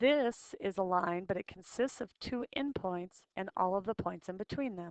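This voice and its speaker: With hardly any pauses, a woman with an ordinary speaking voice talks at medium pitch and a moderate pace, with ordinary pitch variation, in a dry, close sound with no echo. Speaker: math teacher. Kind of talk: lecture.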